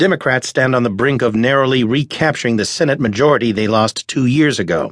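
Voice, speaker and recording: A man with a plain, everyday voice and lively intonation at a fairly quick pace, dry and close with no echo, against a quiet background. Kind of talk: scripted news headline reading. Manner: formal, brisk, even-toned newsreader delivery.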